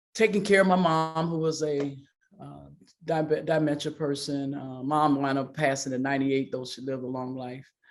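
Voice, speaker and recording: Over music in the background, a woman with a very deep, low pitch keeps a fairly even intonation while her loudness swings widely. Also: moderate pace. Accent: American. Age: 60s. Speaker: pastor and athlete's mother. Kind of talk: interview.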